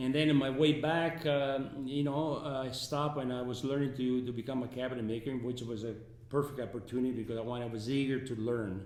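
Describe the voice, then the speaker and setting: There is noticeable background noise and audible room echo as a man speaks at a medium pitch and a fairly quick pace with fairly even intonation. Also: hardly any pauses. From Italy. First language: Italian. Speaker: resort founder and businessman. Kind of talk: interview. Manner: halting.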